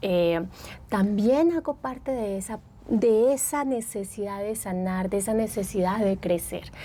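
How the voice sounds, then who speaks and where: A dark, mellow tone at a fairly slow pace, with ordinary pitch variation. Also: woman, medium pitch for a woman. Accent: Antioquian. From Colombia, Medellín (Antioquia). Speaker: psychologist and therapist. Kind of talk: podcast interview.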